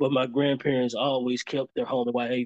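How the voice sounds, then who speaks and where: A man talks with a Memphis accent. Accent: Southern US (Memphis). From US South, Memphis, Tennessee. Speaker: community organizer. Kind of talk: interview. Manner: halting, many fillers.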